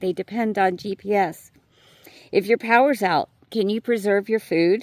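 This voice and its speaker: A woman speaks in an American accent at a moderate pace, her pitch medium with ordinary variation. The sound is dry and close, with no echo. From New York City. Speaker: YouTuber. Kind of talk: voice-over monologue. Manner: hesitant.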